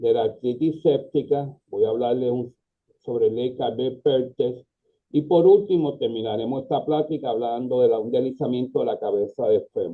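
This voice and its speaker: Speaking in a Puerto Rican accent at a moderate pace, a man has a medium pitch with ordinary pitch variation. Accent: Puerto Rican Spanish, drops S. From Puerto Rico. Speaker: pediatric orthopedic surgeon. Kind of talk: lecture.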